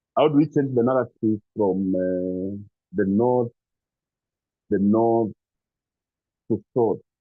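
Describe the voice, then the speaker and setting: Over music in the background, a soft-spoken man talks at a very slow pace with ordinary pitch variation and long, frequent pauses. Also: medium pitch for a man. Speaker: NGO executive. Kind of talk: formal speech. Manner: hesitant, many fillers.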